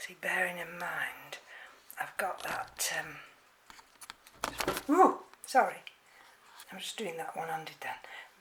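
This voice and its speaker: A woman whispers at a fairly slow pace with an English accent. Noticeable background noise runs underneath. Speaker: orchid hobbyist vlogger. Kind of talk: tutorial. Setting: at home. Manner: halting.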